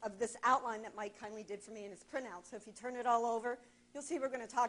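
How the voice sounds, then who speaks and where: She talks at a fairly high pitch for a woman. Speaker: marketing presenter. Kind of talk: presentation to an audience. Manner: loud.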